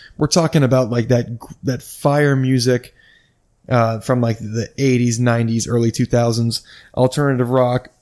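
A man with an American accent speaks at a moderate pace in an ordinary speaking voice, his medium pitch and fairly even intonation captured in a very clean recording against a silent background. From US Midwest. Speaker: podcast host. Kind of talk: solo casual monologue, storytelling. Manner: casual, rambling, self-interrupting.

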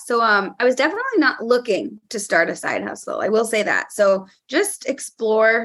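With an American accent, a woman speaks at a moderate pace in a bright, sharp tone at a fairly high pitch. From California. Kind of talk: casual chat.

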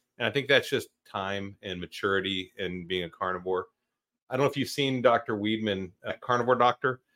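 A man speaks in a normal speaking voice at a fairly low pitch and a fairly quick pace, with ordinary pitch variation, in a very clean recording with a silent background and a dry, close sound with no echo. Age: 50s. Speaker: podcast host, retired army officer. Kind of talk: casual interview chat.

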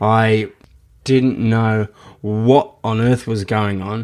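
A man of medium pitch speaks with a strong Australian accent. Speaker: podcast host and memoir author. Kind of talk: reading aloud from own memoir, with casual chat intro. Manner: casual, with fillers and hesitations.

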